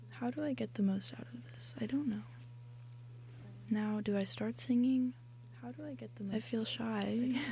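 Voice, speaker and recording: Soft-spoken at a moderate pace, the voice leaves long, frequent pauses. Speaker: radio host. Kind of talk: solo on-air monologue. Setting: radio studio.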